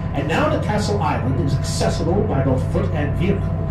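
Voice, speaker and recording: A man speaks at a moderate pace. Loud background noise and audible room echo fill the recording. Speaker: tour guide. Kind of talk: tour narration. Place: boat.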